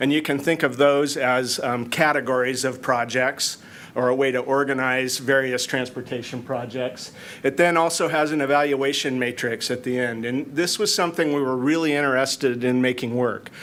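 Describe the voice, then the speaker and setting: A man speaks at a moderate pace in a medium pitch, his intonation fairly even, with audible room echo around him. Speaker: city planning manager. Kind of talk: conference presentation. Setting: conference room with audience. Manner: loud.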